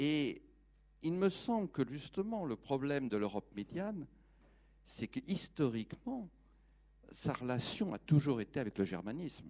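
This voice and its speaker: Pausing long and often, a man speaks at a fairly slow pace in a fairly high pitch with very wide pitch swings. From France. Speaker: audience member. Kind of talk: audience question.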